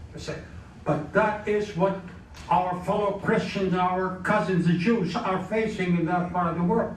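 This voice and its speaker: A man with a high pitch speaks at a moderate pace and with fairly even intonation, with audible room echo and noticeable background noise. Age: 90s. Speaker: former senator, guest speaker. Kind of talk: speech with Q&A. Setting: club meeting with audience. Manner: halting.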